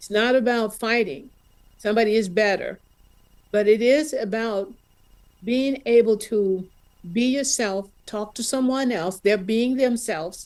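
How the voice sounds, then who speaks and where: Speaking fairly slowly with an American accent, a woman with a fairly high voice uses ordinary pitch variation, big swings in loudness and long, frequent pauses. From US South, Mississippi. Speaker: audience member sharing in Q&A. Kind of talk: testimony. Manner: halting.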